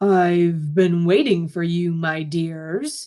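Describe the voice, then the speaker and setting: In a put-on character voice, a woman talks very slowly at a fairly low pitch. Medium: read story. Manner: gentle, soothing, with hidden menace.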